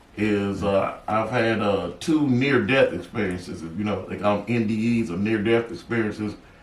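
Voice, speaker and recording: Over noticeable background noise and audible room echo, a man talks at a moderate pace. He leaves hardly any pauses. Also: fairly low pitch for a man, ordinary pitch variation. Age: 60s. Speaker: author sharing near-death experiences. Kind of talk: interview storytelling. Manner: halting, many filler words.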